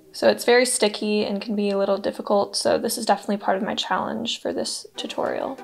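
Faint music sits in the background. Over it, a woman talks. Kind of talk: tutorial.

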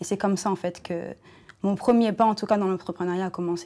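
A woman with a dark, mellow tone speaks at a fairly quick pace and a fairly low pitch. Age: 20s. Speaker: entrepreneur; guest. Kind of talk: panel discussion. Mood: calm, reflective. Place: studio.

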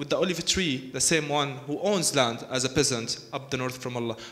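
Lively intonation and an Arabic accent come through over light background noise. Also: man. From Palestine. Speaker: architect; panel artist. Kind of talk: panel talk. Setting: stage with audience. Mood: earnest, argumentative. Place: hall. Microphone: handheld.

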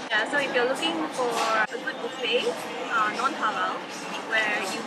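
A woman talks at a moderate pace while music plays behind her. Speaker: restaurant reviewer. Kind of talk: casual review chat. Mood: relaxed, jokey. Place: bar. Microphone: camera far.

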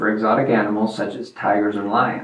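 The man's words come at a moderate pace. His voice carries audible room echo. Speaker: farm channel host. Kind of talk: educational presentation.

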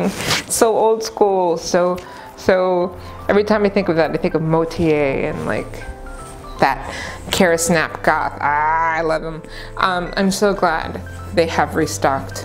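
With music behind her, a woman talks in a fairly low voice. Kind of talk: casual talk to camera. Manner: upbeat, enthusiastic.

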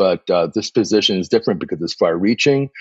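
A man with a normal speaking voice, fairly low pitch and ordinary pitch variation. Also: dry, close sound with no echo. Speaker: veterinarian. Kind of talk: interview.

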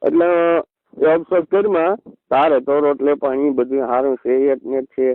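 A man with a fairly high voice and ordinary pitch variation. His loudness stays very even in an unremarkable speaking voice. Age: 40s. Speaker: community elder. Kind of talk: phone call.

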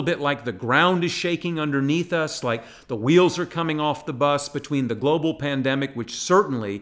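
This man talks at a fairly quick pace with ordinary pitch variation. The background is quiet. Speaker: pastor. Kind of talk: sermon.

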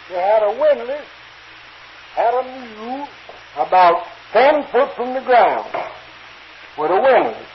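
Amid noticeable background noise, a man with an extremely high pitch and lively intonation speaks fairly slowly, with long, frequent pauses. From North Carolina. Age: 50s. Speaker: turpentine worker. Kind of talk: humorous folk tale. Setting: old field recording, poor sound.

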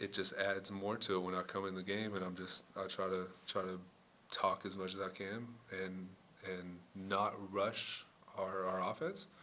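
Over light background noise, a man speaks at a moderate pace in a fairly low voice. His intonation is flat and monotone. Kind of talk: interview answer. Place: meeting room. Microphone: podium.

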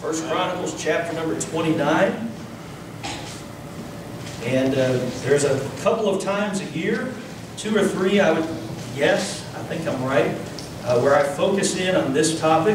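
Speaking at a fairly slow pace, a man uses a fairly high pitch with ordinary variation. Audible room echo and noticeable background noise are present. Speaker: Baptist pastor. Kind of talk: sermon preached to a congregation. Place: church. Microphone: podium.

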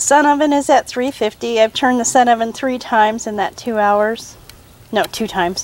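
A woman talks at a moderate pace with lively intonation. The sound is dry with no echo. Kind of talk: casual cooking vlog. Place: garden. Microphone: phone near.

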